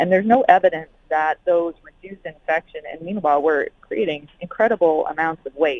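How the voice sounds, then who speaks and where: This is an unremarkable speaking voice at a moderate pace with ordinary pitch variation. Its loudness swings a lot. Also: woman, fairly low pitch for a woman. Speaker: emergency physician and climate health researcher. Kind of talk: interview. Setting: phone call.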